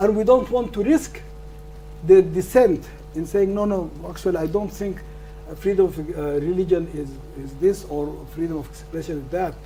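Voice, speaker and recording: A man with a non-native accent at a moderate pace, with big swings in loudness, audible room echo and noticeable background noise. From northern Sudan. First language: not English. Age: 70s. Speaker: law professor. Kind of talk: lecture Q&A answer. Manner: halting, repetitive stammers.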